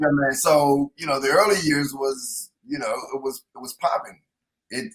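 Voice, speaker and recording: A man talks at a fairly slow pace with a fairly high pitch and ordinary pitch variation. His loudness swings widely. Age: 60s. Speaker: comedian. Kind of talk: casual chat.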